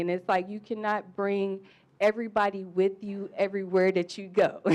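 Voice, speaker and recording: A woman with an unremarkable speaking voice talks at a fairly quick pace, medium in pitch. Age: young. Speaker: audience member. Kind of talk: panel discussion question.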